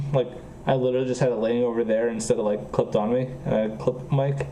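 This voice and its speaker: Over noticeable background noise, a man talks very fast at medium pitch. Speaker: programming streamer. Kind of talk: casual chat. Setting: live stream. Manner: slightly slurred pronunciation.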